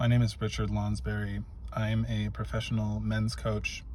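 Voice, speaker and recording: With audible room echo, a man talks at a fairly slow pace. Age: 30s. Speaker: men's coach. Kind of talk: motivational talk to camera. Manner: halting, with frequent fillers.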